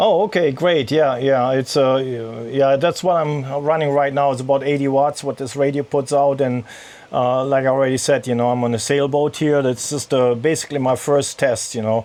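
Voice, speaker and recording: A man's fairly high voice with a German accent, at a moderate pace and with fairly even intonation. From Germany. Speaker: amateur radio operator and sailor. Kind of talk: ham radio contact. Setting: radio on a sailboat in a marina.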